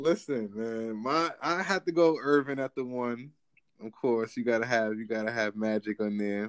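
In a plain, everyday voice, a man speaks at a medium pitch with ordinary pitch variation, the sound dry and close with no echo. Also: moderate pace. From New Jersey. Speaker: podcast host. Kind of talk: casual chat.

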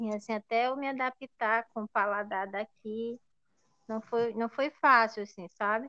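A woman with a Pará accent speaks at a fairly high pitch. Her pace is fairly slow and her intonation fairly even. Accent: Brazilian Portuguese, Pará (paraense). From Brazil, Ananindeua, Pará. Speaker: podcast host, teacher. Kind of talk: casual chat.

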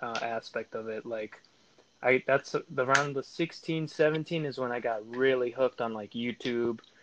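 In an American accent, a plain, everyday voice moves at a fairly slow pace with ordinary pitch variation, the sound dry and close with no echo. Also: man. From California and North Dakota (Fargo). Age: 20s. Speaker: former Marine, podcast guest. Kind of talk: casual chat. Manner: casual slangy storytelling.

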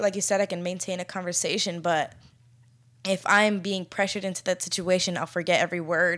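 In an American accent, a woman speaks in a plain, everyday voice at a medium pitch and moderate pace, recorded very cleanly against a silent background. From Florida, US. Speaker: podcast co-host. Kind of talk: casual conversational podcast discussion. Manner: casual, filler-heavy.

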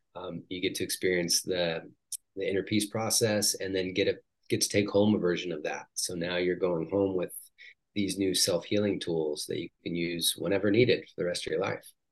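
A man with a plain, everyday voice, big swings in loudness, fairly even intonation and a moderate pace against a quiet background. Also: fairly low pitch for a man. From Washington State. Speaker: life coach and healer. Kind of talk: guided visualization; casual interview.

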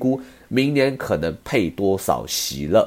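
A man's unremarkable speaking voice at medium pitch, with lively intonation. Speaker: podcast host, stock commentator. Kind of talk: casual monologue.

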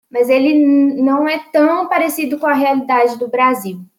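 This woman's voice is high in pitch. It rises and falls in an ordinary way. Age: 20s. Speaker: law graduate. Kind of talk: interview. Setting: online voice call.

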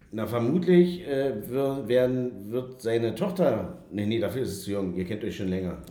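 A man at medium pitch and moderate pace, with very wide pitch swings, audible room echo and noticeable background noise. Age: 40s. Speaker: podcast host. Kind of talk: casual chat. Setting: studio.

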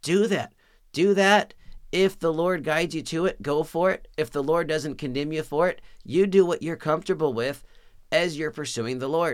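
This man talks at a moderate pace in a fairly high pitch, with ordinary pitch variation. The recording is very clean, with a silent background. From Texas. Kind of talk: sermon-style teaching monologue.

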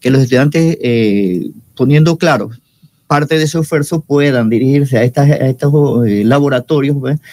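At a moderate pace, an unremarkable speaking voice comes through with a dry, close sound with no echo, very even loudness and ordinary pitch variation. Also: man, fairly high pitch for a man. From Panama, Chiriquí province (Los Algarrobos, David). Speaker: university professor and mycology researcher. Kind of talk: radio interview.

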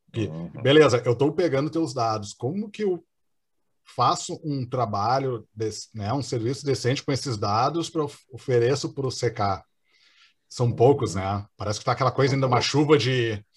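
Over a silent background in a very clean recording, a man speaks at a moderate pace with long, frequent pauses, a somewhat breathy voice and ordinary pitch variation. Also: medium pitch for a man. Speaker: podcast host. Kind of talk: casual interview chat.

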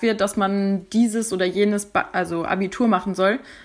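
In a very clean recording against a silent background, a woman talks fairly slowly. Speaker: German teacher. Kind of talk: casual explanation.

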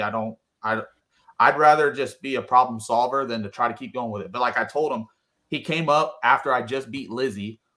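A man talks at a fairly quick pace and medium pitch. His tone is bright and sharp, with fairly even intonation. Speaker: drag racer. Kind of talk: casual interview.

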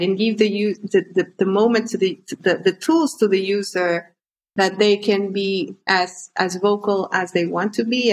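Speaking at a fairly slow pace in a Spanish accent, a woman uses a medium pitch with ordinary pitch variation. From Honduras. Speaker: startup co-founder. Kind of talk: interview. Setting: video call.

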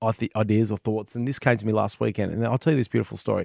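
Recorded very cleanly with a silent background and a dry, close sound with no echo, a man speaks with an Australian accent. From Western Australia. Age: 40s. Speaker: gaming podcast co-host. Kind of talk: casual chat. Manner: animated.

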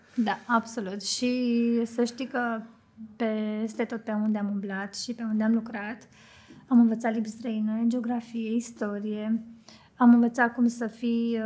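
A plain, everyday voice from a woman, fairly high in pitch, with ordinary pitch variation and a fairly slow pace. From Romania, Bucharest. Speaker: hairstylist and makeup artist. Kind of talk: casual chat.

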